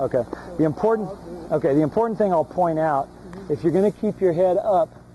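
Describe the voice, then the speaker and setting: Against noticeable background noise, a man with a high pitch talks at a very fast pace and very even loudness. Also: ordinary pitch variation. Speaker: long snapping coach. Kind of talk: one-on-one coaching feedback. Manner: repeats words, slight stammer.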